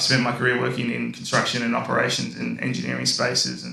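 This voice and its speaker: The fairly quick speech comes with audible room echo and noticeable background noise. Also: man. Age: 30s. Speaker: engineer in construction and operations. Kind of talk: panel discussion.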